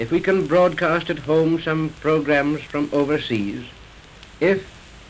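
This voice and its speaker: A man with a fairly high pitch speaks with ordinary pitch variation amid noticeable background noise. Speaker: broadcasting director giving a speech. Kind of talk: formal inaugural speech.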